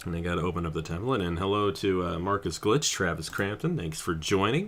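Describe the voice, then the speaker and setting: A man speaks at a moderate pace in a very deep, low voice, with ordinary pitch variation. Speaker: streamer. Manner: laid back, relaxed.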